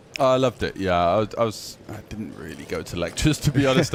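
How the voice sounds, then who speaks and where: A man with an English accent at a moderate pace, ordinary pitch variation and noticeable background noise. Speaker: poker commentator. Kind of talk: live commentary.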